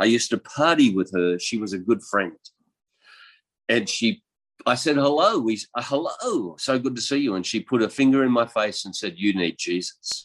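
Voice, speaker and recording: With an Australian accent, a man speaks at a moderate pace in a medium pitch with lively intonation over a quiet background. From Australia, rural east coast. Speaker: pastor and missionary. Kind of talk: testimony interview.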